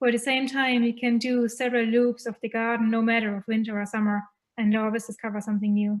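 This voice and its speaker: A woman with a German accent talks at a very fast pace in a fairly high voice. Her intonation is monotone and flat. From Germany. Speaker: festival contributor. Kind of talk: casual chat.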